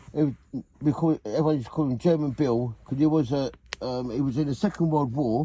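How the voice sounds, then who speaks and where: A man with a fairly high pitch speaks with a southeast English accent at a moderate pace. His tone is dark and mellow, with ordinary pitch variation. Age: 60s. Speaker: vlogger, former weightlifter. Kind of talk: casual reminiscing monologue. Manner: halting, repetitive.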